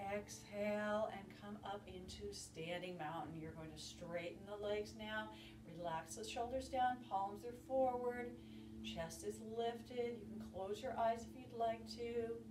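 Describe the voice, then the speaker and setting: A woman's fairly slow speech against noticeable background noise. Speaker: fitness instructor. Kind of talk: guided yoga class with calm step-by-step cues. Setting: home video workout. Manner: calm, soothing, instructive; steady, measured pacing with gentle encouragement. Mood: calm, encouraging. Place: home room. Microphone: camera far.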